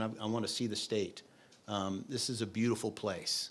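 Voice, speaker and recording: Speaking with a southwest Missouri accent, a man holds a medium pitch, fairly even intonation, and a moderate pace on a very clean recording with a silent background. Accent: noticeable southwest Missouri. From US Midwest, southwest Missouri. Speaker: state oil and gas regulator, geologist. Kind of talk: public meeting speech. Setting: meeting hall with audience.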